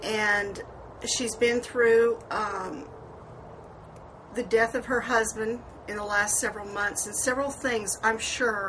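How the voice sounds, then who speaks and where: Through noticeable background noise, a woman with a fairly high pitch speaks at a very slow pace, with fairly even intonation and long, frequent pauses. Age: 60s. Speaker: beauty vlogger. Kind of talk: personal vlog monologue. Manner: rambling conversational, hesitant fillers.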